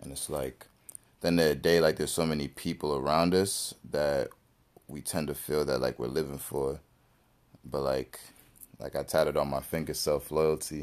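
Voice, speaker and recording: Speaking at a moderate pace with long, frequent pauses, a man with a very deep, low pitch and vocal fry talks in a flat monotone. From Jamaican heritage. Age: 20s. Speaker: musician. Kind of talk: casual chat.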